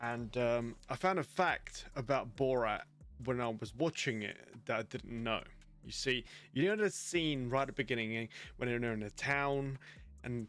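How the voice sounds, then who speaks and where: Over music in the background, a man talks at a moderate pace with a medium pitch. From Romania. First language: Romanian. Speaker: streamer interviewer. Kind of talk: casual interview chat.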